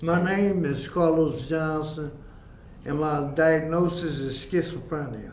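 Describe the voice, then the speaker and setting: Fairly even intonation and a fairly slow pace come through with audible room echo. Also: man, fairly high pitch for a man. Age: 60s. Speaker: person living with schizophrenia. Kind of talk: testimony.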